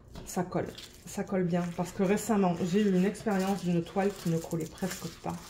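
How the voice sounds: In a put-on character voice, a woman speaks hoarsely at a medium pitch and a fairly quick pace, her intonation monotone and flat.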